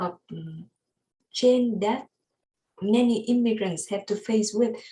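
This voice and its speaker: A woman's fairly high, somewhat breathy voice with a dark, mellow tone and a Vietnamese accent, at a fairly slow pace. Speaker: student. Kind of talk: class presentation. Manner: halting.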